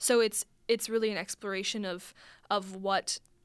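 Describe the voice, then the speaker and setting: A woman with a Midwestern American accent at a moderate pace, on a very clean recording with a silent background. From US Midwest, northern Illinois. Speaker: college student and playwright. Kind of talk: radio interview. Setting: radio studio.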